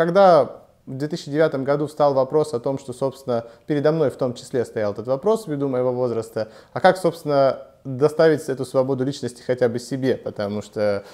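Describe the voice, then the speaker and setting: Over a quiet background, a man with a dark, mellow tone talks at a moderate pace with ordinary pitch variation. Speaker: interview guest. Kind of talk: interview answer. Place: studio. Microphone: lapel.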